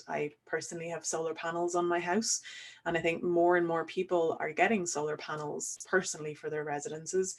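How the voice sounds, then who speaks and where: A woman with a fairly low voice speaks in an Irish accent. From Ireland. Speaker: solar physicist. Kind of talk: online webinar Q&A, explaining science. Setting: webinar.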